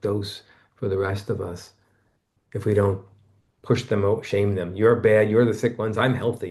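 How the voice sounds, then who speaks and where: A man speaks quietly in a fairly low, somewhat breathy voice. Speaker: author and therapist. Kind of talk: casual chat. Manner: quiet, lower and tender.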